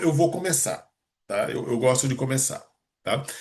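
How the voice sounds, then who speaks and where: Somewhat breathy, a man speaks at a moderate pace with a fairly high pitch. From Rio de Janeiro, Brazil. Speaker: meeting host, entrepreneur. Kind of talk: online meeting introduction. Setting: video call.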